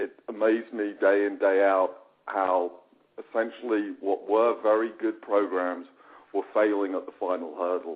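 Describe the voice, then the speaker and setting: Speaking with a British accent, a man with a fairly low voice keeps a moderate pace and fairly even intonation. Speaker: company founder. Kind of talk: webinar presentation.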